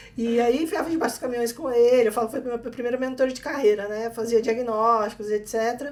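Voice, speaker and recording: A woman with a strong mineiro accent speaks at a fairly quick pace with hardly any pauses, her high pitch held in fairly even intonation. Noticeable background noise is present. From Minas Gerais, Brazil (small town). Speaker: technology executive. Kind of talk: interview.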